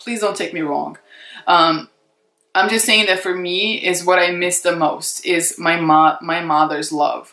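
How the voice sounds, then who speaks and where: A woman speaks with a non-native accent at medium pitch. Her pace is fairly slow. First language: not English. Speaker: beauty YouTuber, former model. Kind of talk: casual vlog chat to camera. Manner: unscripted, conversational with many fillers.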